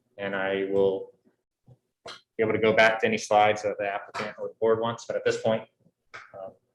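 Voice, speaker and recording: Long, frequent pauses break up a man's fairly quick speech, which has big swings in loudness. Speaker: city planning staff. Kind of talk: public meeting. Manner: halting.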